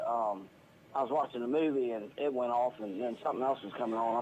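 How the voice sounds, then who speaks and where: Over noticeable background noise, a man talks at a fairly quick pace and medium pitch with ordinary pitch variation. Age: 60s. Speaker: caller, retired welder. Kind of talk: phone-in chat.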